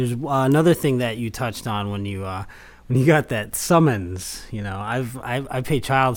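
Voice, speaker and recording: In a plain, everyday voice, a man speaks at a medium pitch and moderate pace with ordinary pitch variation. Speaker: podcast co-host in recovery. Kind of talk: casual conversation.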